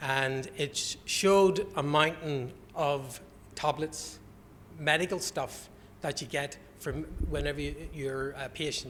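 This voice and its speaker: Someone speaks at a very slow pace in a Northern Irish accent, with ordinary pitch variation. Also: man, fairly high pitch for a man. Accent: Northern Irish (Belfast). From Northern Ireland, Belfast. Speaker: conference speaker, health alliance representative. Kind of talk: conference presentation. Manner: informal, joking.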